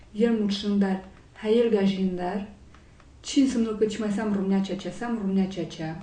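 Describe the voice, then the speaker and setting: A woman talks at a fairly slow pace in a dark, mellow, somewhat breathy tone of medium pitch, with audible room echo. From Romania, raised partly in France. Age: 20s. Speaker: law student and activist. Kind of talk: interview testimony. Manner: hesitant, many fillers.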